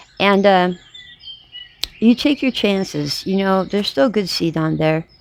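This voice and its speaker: Over noticeable background noise, a woman talks fairly slowly at a medium pitch with ordinary pitch variation, the sound dry and close with no echo. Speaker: gardening vlogger. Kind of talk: casual tutorial vlog. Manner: strained, trying to project; hesitant, many fillers.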